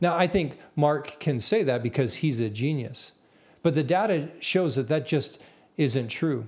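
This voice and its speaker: This man has a normal speaking voice, fairly high in pitch, with lively intonation and very even loudness. The recording is very clean and the background silent. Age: 40s. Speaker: podcast host. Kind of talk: solo monologue. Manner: repetitive false starts.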